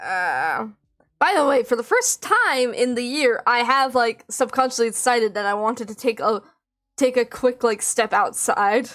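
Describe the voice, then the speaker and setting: Loud and high-pitched, a woman speaks at a moderate pace. Her pitch varies in an ordinary way. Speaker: vtuber streamer. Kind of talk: casual live stream chat. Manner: exclaims a lot.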